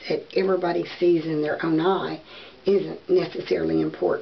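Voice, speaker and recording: A woman talks in a Southern US accent at a fairly slow pace. Noticeable background noise is present. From US South. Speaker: beauty and wig vlogger. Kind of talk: casual vlog talk to camera. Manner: hesitant, many fillers.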